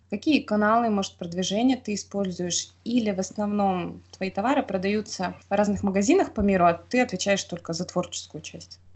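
A woman with a somewhat breathy, medium-pitched voice speaks at a moderate pace with hardly any pauses and ordinary pitch variation. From Russia, Khanty-Mansi region. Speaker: podcast host. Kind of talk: interview. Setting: remote call.

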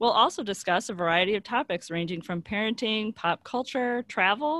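A woman speaks at a moderate pace with lively intonation. The sound is dry and close, with no echo. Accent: American. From Chicago area, US Midwest. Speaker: podcast co-host, parent. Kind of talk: casual chat; scripted show intro/outro.

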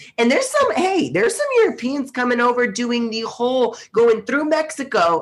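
A fairly quick pace with hardly any pauses, over noticeable background noise. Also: woman. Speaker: fitness competitor and podcast co-host. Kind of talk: casual chat.

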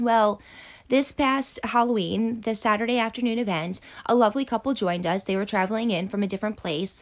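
The speaker's pitch varies in an ordinary way against a quiet background. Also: woman, fairly high pitch for a woman, fairly quick pace. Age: 30s. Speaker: podcast host and event organizer. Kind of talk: solo podcast monologue. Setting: home closet recording. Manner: rambling with frequent fillers.

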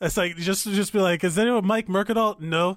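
Loud and high-pitched, a man speaks with ordinary pitch variation. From Miami, Florida (Cuban-American). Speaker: podcast co-host. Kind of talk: casual chat.

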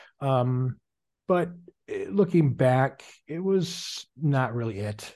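A man speaks very slowly at a medium pitch, with a dark, mellow tone that is somewhat breathy. His intonation is lively, and the background is quiet. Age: 40s. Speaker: online sales businessman. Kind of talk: casual chat.

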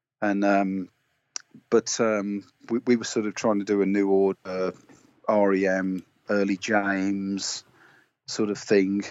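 In a West Midlands accent, a man speaks at a very slow pace with a fairly low pitch. His intonation is monotone and flat, with long, frequent pauses. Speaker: indie musician. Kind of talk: interview. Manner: halting, many fillers.

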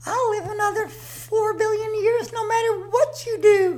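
A woman's voice with an extremely high pitch. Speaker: comic character Mother Nature.

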